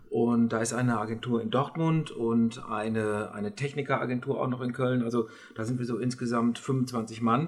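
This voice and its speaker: Speaking with fairly even intonation, a man keeps a medium pitch and a moderate pace. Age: 50s. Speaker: communications consultant. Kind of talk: interview. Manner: hesitant, many fillers.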